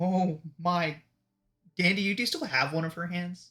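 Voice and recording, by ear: This put-on character voice is shrill, sitting at a middle pitch and moving at a moderate pace.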